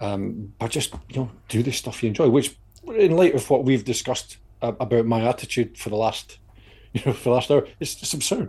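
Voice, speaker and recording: A man talks at a moderate pace and a medium pitch, with ordinary pitch variation. His tone is dark, mellow and somewhat breathy. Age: 50s. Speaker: podcast co-host, endurance walker. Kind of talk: casual chat.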